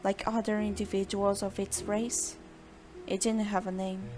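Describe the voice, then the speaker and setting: With music playing behind her, a woman with a Brazilian accent speaks fairly slowly at a medium pitch in a flat, monotone delivery. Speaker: amateur fiction author reading own story. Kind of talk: story narration.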